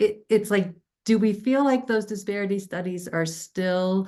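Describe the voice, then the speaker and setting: Against a quiet background, a woman with an American accent talks at a moderate pace with lively intonation. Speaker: town hall moderator. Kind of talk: moderated Q&A.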